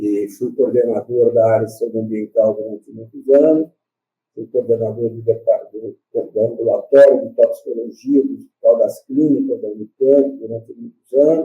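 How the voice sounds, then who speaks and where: A man at a moderate pace, with big swings in loudness and music in the background. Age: 70s. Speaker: retired doctor and toxicologist. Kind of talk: oral history interview. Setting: video call. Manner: halting, many repetitions and fillers.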